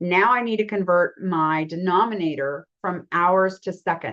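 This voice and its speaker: A woman's normal speaking voice, medium in pitch with ordinary pitch variation, over a quiet background. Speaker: math teacher. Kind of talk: lecture.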